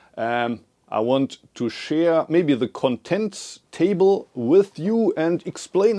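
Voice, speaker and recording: Speaking at a very slow pace, a man with a dark, mellow tone makes very wide pitch swings, the sound dry and close with no echo. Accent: German. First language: German. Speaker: Zen abbot and author. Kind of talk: casual talk to camera. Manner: hesitant with fillers.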